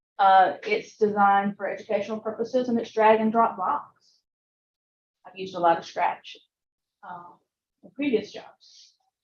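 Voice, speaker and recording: A woman with a Southern US accent speaks at a moderate pace and fairly high pitch, with fairly even intonation, big swings in loudness and long, frequent pauses. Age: old. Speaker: computer science teacher. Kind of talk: lecture.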